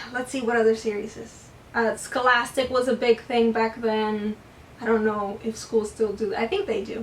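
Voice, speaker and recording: Noticeable background noise surrounds a woman's fairly high voice. Her intonation is monotone and flat. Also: moderate pace. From US. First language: Spanish. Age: 20s. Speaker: booktuber. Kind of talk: casual chat. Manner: casual with fillers.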